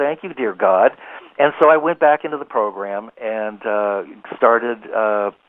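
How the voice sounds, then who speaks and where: A man speaks in an ordinary speaking voice at a medium pitch, with ordinary pitch variation and a fairly slow pace. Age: 60s. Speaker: psychic healer and author. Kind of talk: interview testimony. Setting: internet radio interview.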